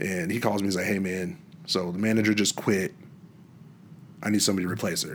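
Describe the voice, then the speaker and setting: In a room with audible echo, a man with an American accent talks very fast at a fairly low pitch, his intonation fairly even, with long, frequent pauses. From Washington State, US. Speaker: musician. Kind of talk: casual chat.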